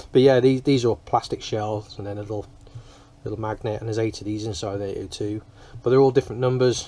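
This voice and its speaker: A man at a very fast pace with big swings in loudness. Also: medium pitch for a man. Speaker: hobbyist speaker repairer. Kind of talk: casual workshop tutorial talk. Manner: monotone.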